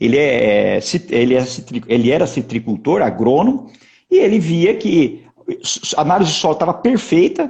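Pausing long and often, a man talks at a moderate pace with a high pitch, very wide pitch swings and very even loudness. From interior of São Paulo state, Brazil. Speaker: agronomist, agribusiness executive. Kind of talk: interview. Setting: online live stream.

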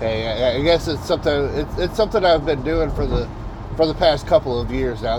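Room echo is audible and background noise noticeable as a man speaks at a moderate pace. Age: 40s. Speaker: podcast host, delivery driver. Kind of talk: casual monologue. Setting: in a delivery vehicle on the road. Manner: halting, many fillers and repetitions.

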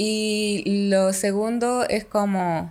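A woman speaks with monotone, flat intonation in a very clean recording with a silent background. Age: 20s. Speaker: podcaster. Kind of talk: casual chat.

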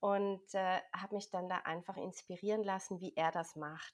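Speaking at a moderate pace, a woman has a medium pitch and a normal speaking voice. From Switzerland. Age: 40s. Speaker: health coach and energy healing practitioner. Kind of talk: interview.

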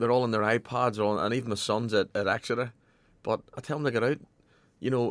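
A man with an ordinary speaking voice talks fairly quickly at a medium pitch. The recording is very clean with a silent background and a dry, close sound with no echo. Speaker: football manager. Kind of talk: radio interview.

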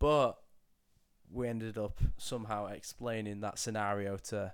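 This man speaks with a fairly low pitch. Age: 20s. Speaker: podcast producer and co-host. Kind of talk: casual chat. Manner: giggly.

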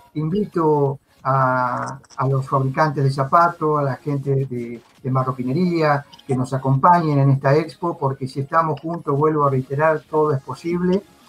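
Over noticeable background noise, a man talks at a fairly slow pace, his fairly high voice held in fairly even intonation. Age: 50s. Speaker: virtual trade fair organizer. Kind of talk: live video interview.

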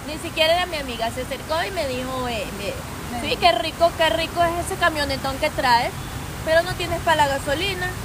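A woman with an extremely high pitch speaks at a fairly quick pace, with audible room echo and noticeable background noise. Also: ordinary pitch variation. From Venezuela. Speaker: influencer and entrepreneur. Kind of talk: casual interview. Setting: recorded inside a market.

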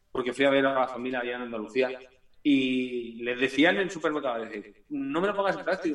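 A man talks fairly quickly, and noticeable background noise can be heard. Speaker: punk-ska band singer. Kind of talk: casual interview.

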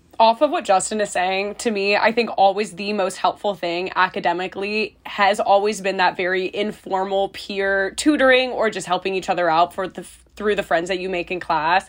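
Hers is an unremarkable speaking voice, medium in pitch with fairly even intonation. The woman keeps a moderate pace with hardly any pauses. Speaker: student podcast co-host. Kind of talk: casual chat.

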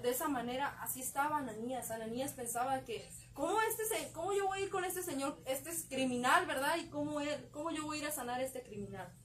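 A woman's high voice with lively intonation, a fairly quick pace and hardly any pauses. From Mexico, León, Guanajuato. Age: 20s. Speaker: young church group member. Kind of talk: faith testimony. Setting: live stream from a bookstore.

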